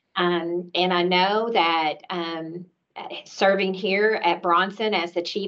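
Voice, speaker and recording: A woman with a fairly low pitch speaks in a flat monotone with a Tennessee accent. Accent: Southern US (Tennessee). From US South, Nashville, Tennessee. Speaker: healthcare executive. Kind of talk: panel discussion introduction. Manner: hesitant with fillers.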